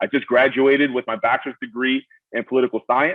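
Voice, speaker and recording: A man speaks with a Brooklyn accent. He talks at a fairly quick pace. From Miami, Florida. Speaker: army veteran, college graduate. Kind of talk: panel Q&A personal story. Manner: halting, many fillers.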